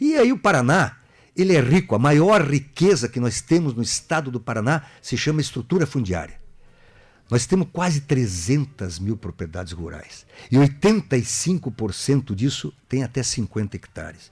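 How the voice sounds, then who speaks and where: His pitch swings very widely. The man's voice has vocal fry. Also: medium pitch for a man, moderate pace. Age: 60s. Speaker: political candidate. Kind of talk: radio interview.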